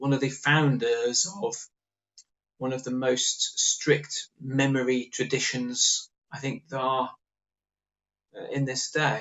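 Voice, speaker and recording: Speaking with an English accent, a man talks at a very slow pace with long, frequent pauses. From England, Norwich. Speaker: author. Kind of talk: interview.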